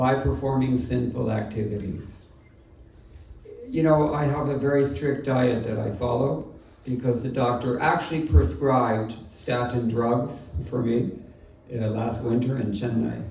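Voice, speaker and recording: With an American accent, a man talks at a fairly slow pace in a medium pitch with ordinary pitch variation, over noticeable background noise and audible room echo. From Southern California. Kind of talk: sermon. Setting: home gathering with audience.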